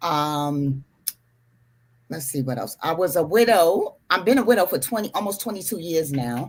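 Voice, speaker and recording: The speaker has a New York accent and a moderate pace. Pitch swings very widely. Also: woman, fairly low pitch for a woman. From New York City, Harlem. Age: 60s. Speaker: retired housing manager, panel guest. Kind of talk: panel discussion.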